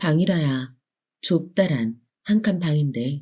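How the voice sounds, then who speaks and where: Delivered at a very slow pace in a soothing tone, the voice is recorded very cleanly against a silent background. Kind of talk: bedtime story narration, gentle audiobook reading of a children's tale. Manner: soft, slow, soothing.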